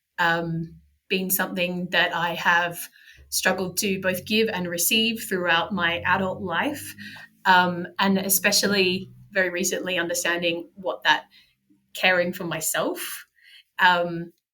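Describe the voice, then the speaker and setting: Her tone bright and sharp, a woman speaks in an Australian accent at a fairly slow pace. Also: medium pitch for a woman, fairly even intonation. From regional Australia. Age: 40s. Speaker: podcaster and blogger. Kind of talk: interview conversation.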